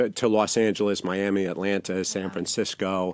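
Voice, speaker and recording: A man's fairly low voice, monotone and flat, at a moderate pace. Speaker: startup co-founder talking about a sober-community app. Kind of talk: interview answer.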